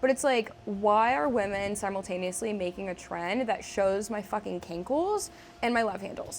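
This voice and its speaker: Here a woman speaks in an ordinary speaking voice. She keeps a moderate pace and ordinary pitch variation. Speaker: comedian and internet personality. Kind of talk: casual chat.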